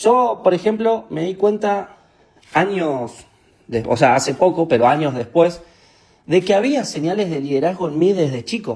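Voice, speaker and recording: Speaking fairly slowly in an Argentine accent, a man uses a high pitch with very wide swings. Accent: Rioplatense Argentine Spanish. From Argentina, Santa Fe (Capitán Bermúdez). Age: 20s. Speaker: motivational speaker. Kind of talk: online training talk. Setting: live stream. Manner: informal, hesitant with fillers.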